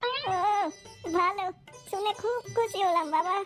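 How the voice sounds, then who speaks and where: A woman's cartoonish character voice at an extremely high pitch, with ordinary pitch variation and faint music in the background. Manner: weary, plaintive.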